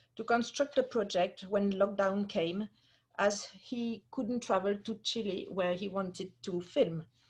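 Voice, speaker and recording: A somewhat breathy woman's voice in a French accent, medium in pitch with ordinary pitch variation, at a fairly slow pace against a quiet background. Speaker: museum curator. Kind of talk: formal introduction. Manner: hesitant, many fillers.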